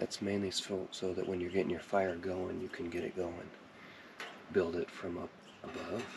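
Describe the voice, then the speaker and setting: A soft-spoken man with a very deep, low voice, flat monotone delivery, moderate pace and long, frequent pauses. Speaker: outdoor gear reviewer. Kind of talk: product review.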